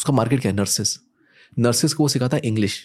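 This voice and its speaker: A somewhat breathy man's voice, dark and mellow in tone, with ordinary pitch variation. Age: 20s. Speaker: entrepreneur and business coach. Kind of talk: casual chat.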